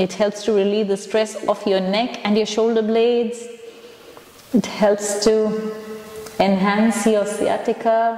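Audible room echo surrounds a woman who speaks at a very slow pace. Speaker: yoga instructor. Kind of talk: guided exercise class. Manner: upbeat, encouraging. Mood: calm, encouraging. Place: empty room. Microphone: lapel.

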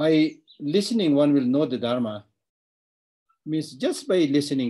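A man speaks at a moderate pace in a dark, mellow tone. The background is quiet. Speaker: Buddhist teacher. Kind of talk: lecture. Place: office. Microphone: webcam.

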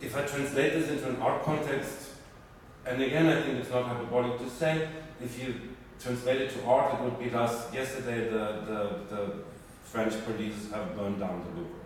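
A man speaks at a moderate pace with ordinary pitch variation. There is strong room echo and light background noise. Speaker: speaker. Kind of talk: spontaneous talk to audience. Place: hall. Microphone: camera far.

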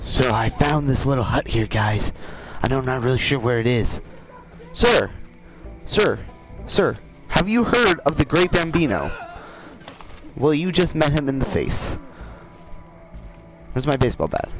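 Music plays behind a man with a fairly high pitch and lively intonation. He keeps a moderate pace, broken by long, frequent pauses. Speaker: gaming video creator. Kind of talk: casual gameplay commentary.

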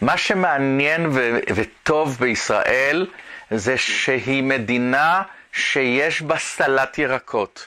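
A man's voice has a bright, sharp tone against a quiet background. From Israel. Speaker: art professor and artist. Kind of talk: interview monologue. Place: studio.

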